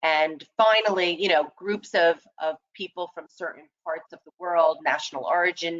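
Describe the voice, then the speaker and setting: A woman with an ordinary speaking voice, fairly low in pitch, at a fairly slow pace, with ordinary pitch variation and big swings in loudness. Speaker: employment lawyer. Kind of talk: webinar presentation. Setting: online webinar.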